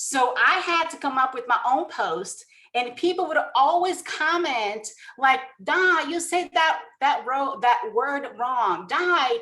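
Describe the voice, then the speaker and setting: Raised and projected, a woman's high voice moves at a very slow pace through very wide pitch swings. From Brazil. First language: Portuguese. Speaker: network marketing distributor. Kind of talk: motivational presentation. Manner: emotional.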